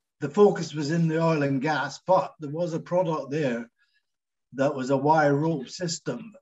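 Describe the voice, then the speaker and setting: A man with a Scottish accent talks at a fairly high pitch with ordinary pitch variation. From Scotland, Glasgow. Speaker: engineer and businessman. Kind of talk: interview. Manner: halting.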